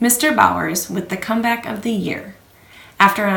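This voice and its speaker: There is audible room echo as a woman speaks. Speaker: realtor. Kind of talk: scripted market update video.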